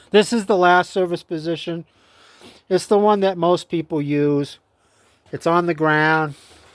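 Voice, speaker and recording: A man's high-pitched voice at a fairly slow pace, fairly even in intonation, with long, frequent pauses, in a very clean recording with a silent background. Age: 60s. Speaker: small engine repair youtuber. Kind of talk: tutorial. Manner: halting.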